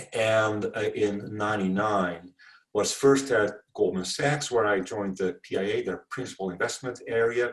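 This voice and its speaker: Speaking at a moderate pace with a Dutch accent, a man has a fairly low pitch and ordinary pitch variation. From Netherlands. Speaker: venture capital investor. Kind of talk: interview.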